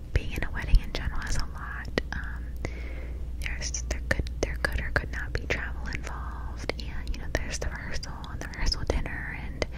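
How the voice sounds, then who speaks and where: The speech moves at a fairly quick pace. Loud background noise sits under a dry sound with no echo. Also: woman. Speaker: ASMR creator. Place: home room. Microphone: studio mic.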